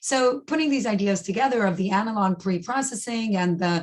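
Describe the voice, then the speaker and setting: A woman speaks at a medium pitch, somewhat breathy. Her pitch varies in an ordinary way. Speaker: professor. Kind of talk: lecture. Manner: fast.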